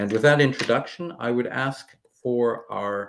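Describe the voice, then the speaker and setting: With an American accent, a man speaks at a medium pitch with ordinary pitch variation over a quiet background. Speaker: webinar moderator. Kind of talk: formal introductory remarks.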